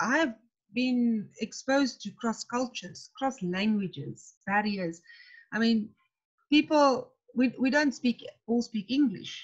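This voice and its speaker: Speaking at a very slow pace with a South African accent, a woman uses lively intonation and a fairly high pitch. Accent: Afrikaans-accented English. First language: Afrikaans. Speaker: tent pegging coach, coach developer. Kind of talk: webinar discussion. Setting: video call webinar.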